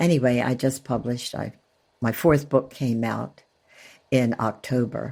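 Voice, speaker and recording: In a very clean recording with a silent background, a woman with a very deep, low pitch, vocal fry and a dark, mellow tone speaks at a fairly slow pace with fairly even intonation and long, frequent pauses. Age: 80s+. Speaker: author and retired schoolteacher. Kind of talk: interview.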